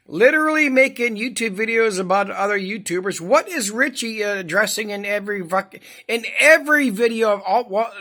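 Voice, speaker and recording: The tone is animated and the pace fairly quick. There are hardly any pauses. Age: 50s. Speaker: commentary YouTuber. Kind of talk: reaction commentary.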